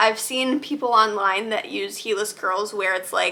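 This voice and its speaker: Fairly quick and with fairly even intonation, a woman's speech comes through noticeable background noise. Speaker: lifestyle vlogger. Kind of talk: product recommendations. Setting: at home. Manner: casual, many filler words.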